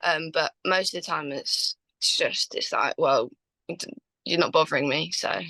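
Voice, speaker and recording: A woman with a southern English accent speaks fairly slowly, leaving long, frequent pauses. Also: dry, close sound with no echo. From Watford, England. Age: young. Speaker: Muay Thai fighter, world champion. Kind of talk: interview answer.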